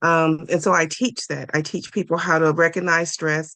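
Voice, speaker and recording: A woman with an unremarkable speaking voice talks at a moderate pace, using a fairly low pitch and fairly even intonation. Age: 60s. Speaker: executive business coach. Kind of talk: interview.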